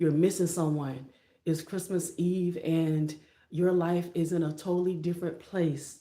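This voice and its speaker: Audible room echo surrounds a woman's dark, mellow tone. She speaks at a fairly slow pace with a fairly low pitch. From Florida. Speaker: motivational YouTuber. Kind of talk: motivational livestream talk. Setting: live stream. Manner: less energetic than usual.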